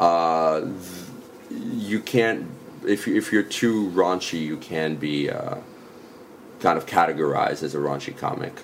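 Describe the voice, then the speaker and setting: A man with a New York accent at a fairly slow pace, with long, frequent pauses and noticeable background noise. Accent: New York area American English. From US Northeast, New York suburbs (Westchester). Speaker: comedian. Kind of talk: casual chat. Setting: in person. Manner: halting.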